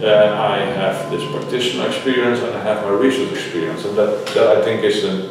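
A man with a Dutch accent talks at a fairly quick pace. Noticeable background noise and strong room echo surround his voice. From Netherlands. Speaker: higher education scholar. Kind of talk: interview. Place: meeting room. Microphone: camera far.

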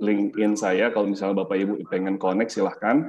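A man's fairly low, monotone, flat voice at a very fast pace, over light background noise. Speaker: lecturer and startup co-founder; lecturer. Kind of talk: webinar talk. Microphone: webcam.

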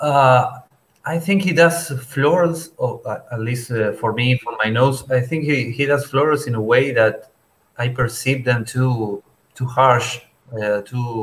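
This man talks at a fairly slow pace, sounding somewhat breathy, with ordinary pitch variation. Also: medium pitch for a man. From Argentina. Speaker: fragrance enthusiast. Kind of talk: casual chat. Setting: video call. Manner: halting.

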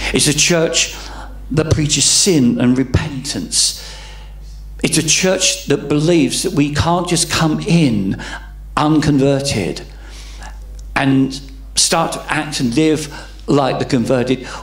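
A man at a very slow pace, with long, frequent pauses, ordinary pitch variation and audible room echo. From England. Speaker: pastor. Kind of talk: sermon. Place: church. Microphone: handheld.

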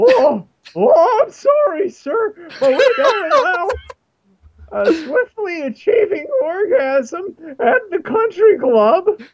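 In a put-on character voice, the speaker goes very slowly at an extremely high pitch, with very wide pitch swings and long, frequent pauses. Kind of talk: posh, prim. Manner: put-on, mock polite.

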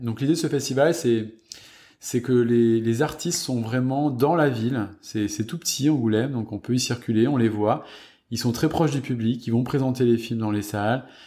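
On a very clean recording with a silent background, a man speaks at a fairly slow pace in a dark, mellow tone, medium in pitch with ordinary variation. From southwest France, Gironde near Bordeaux. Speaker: film set photographer. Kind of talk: interview conversation.

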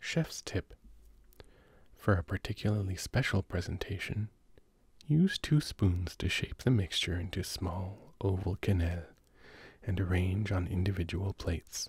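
A man's very deep, low voice, somewhat breathy and soothing, fairly slow with long, frequent pauses and ordinary pitch variation, the sound dry and close with no echo on a very clean recording with a silent background. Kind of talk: sleep reading of recipes. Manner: soothing, slow.

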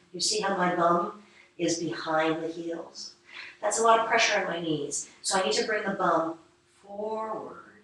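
A woman with fairly even intonation and strong room echo. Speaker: yoga teacher. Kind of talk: guided yoga class, calm instructional cueing. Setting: studio, live online stream. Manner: calm, unhurried, soothing; instructive, gently paced, with pauses. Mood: calm, soothing. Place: home room. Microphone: camera far.

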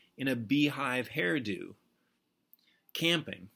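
At a very slow pace, a man with a bright, sharp tone and medium pitch speaks over a quiet background. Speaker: poet. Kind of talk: poetry reading, narrative poem read aloud to camera. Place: home room. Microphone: webcam.

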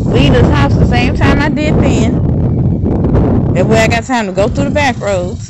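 A woman's fairly slow speech with hardly any pauses, set against loud background noise. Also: very even loudness, dry sound with no echo. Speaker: vlogger. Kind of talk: casual vlog monologue. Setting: outdoors. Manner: rambling, casual. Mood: annoyed about traffic. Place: street. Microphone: phone near.

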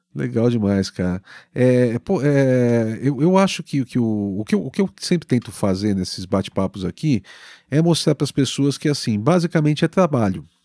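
A man talks at a moderate pace in a dark, mellow tone with very wide pitch swings. The sound is dry with no echo, over a quiet background. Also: medium pitch for a man. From Brazil. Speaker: podcast host and musician; podcast host. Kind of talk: casual interview chat. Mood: friendly, reminiscing. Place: home room. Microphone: studio mic.

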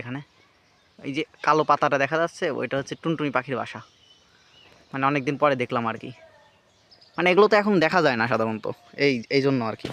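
No echo reaches this dry, close recording. The voice moves up and down in pitch by an ordinary amount. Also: man. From rural Bangladesh. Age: 20s. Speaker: rural video creator. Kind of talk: casual vlog narration. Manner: halting, many fillers.

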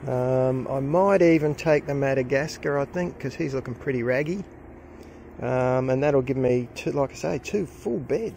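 A man talks in an Australian accent. The sound is dry with no echo, and there is light background noise. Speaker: gardening vlogger. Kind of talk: casual vlog narration. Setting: outdoors. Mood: pleased, relaxed. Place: garden. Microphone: phone near.

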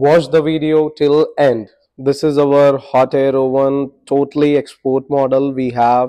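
In a quiet background, a man talks with a dark, mellow tone. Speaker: presenter. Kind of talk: product demo commentary. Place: factory. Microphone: lapel.

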